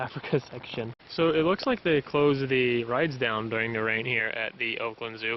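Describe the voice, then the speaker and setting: A man speaks here. Clearly audible noise fills the background. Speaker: travel vlogger. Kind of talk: casual vlog narration. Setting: outdoors at a zoo in the rain. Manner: fast. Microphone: phone camera mic, switched phones.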